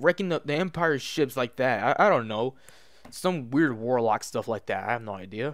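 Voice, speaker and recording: His pitch swings very widely as this man talks at a moderate speed, recorded very cleanly against a silent background. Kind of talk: casual movie review rant to camera. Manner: stuttering.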